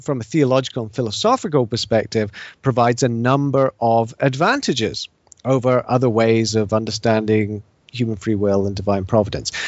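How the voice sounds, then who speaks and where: A man speaks with a British accent at a medium pitch. His pace is moderate and his pitch varies in an ordinary way. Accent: British, noticeable to US listeners. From England and Scotland (English parents, mostly Edinburgh). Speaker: professor of theology and philosophy. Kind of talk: interview on theology.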